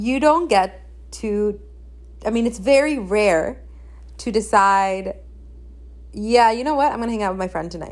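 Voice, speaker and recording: A woman speaks at a moderate pace with lively intonation and a medium pitch. Her speech has long, frequent pauses. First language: Spanish. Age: 20s. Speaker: podcast host. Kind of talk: casual monologue.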